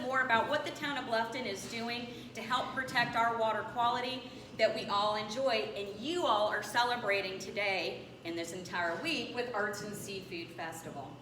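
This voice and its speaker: Room echo is audible along with noticeable background noise. A woman talks at a fairly quick pace and a fairly high pitch. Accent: American. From northwestern Pennsylvania. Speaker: town watershed manager. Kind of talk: presentation to a club audience. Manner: fast.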